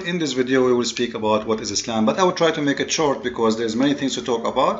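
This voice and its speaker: A man with a non-native accent speaks very fast at a medium pitch, with lively intonation. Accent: noticeable non-native. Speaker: religious commentary YouTuber. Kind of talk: critical commentary monologue. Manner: halting, with frequent fillers and repetitions.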